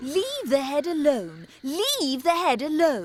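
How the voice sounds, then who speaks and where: A female-sounding, high-pitched put-on character voice delivered at a fairly slow pace. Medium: video game. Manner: rambling, morbid.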